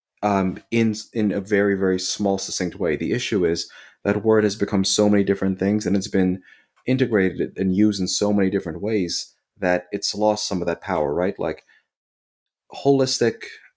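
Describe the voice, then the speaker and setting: A man speaks at a moderate pace with a fairly low pitch on a very clean recording against a silent background. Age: 30s. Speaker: osteopathic physician. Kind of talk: casual chat. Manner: animated.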